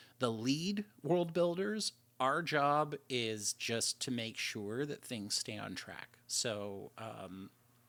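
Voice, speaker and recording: A man with an ordinary speaking voice and a Canadian accent, medium in pitch with ordinary pitch variation, in a very clean recording with a silent background. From Canada. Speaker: lead world builder of a roleplay game server. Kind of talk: livestream Q&A. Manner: casual, many fillers and restarts.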